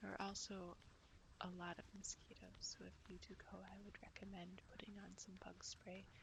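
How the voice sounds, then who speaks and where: Whispering at a moderate pace, the speaker has an American accent and a gentle, relaxed tone. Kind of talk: ASMR outdoor walk narration, casual talk to camera. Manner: soft, gentle, relaxed.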